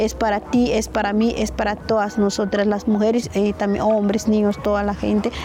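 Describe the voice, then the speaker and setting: A woman talks at a moderate pace and medium pitch in a monotone, flat delivery with very even loudness and hardly any pauses, over noticeable background noise. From western Guatemala, Lake Atitlán. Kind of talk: interview. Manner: halting.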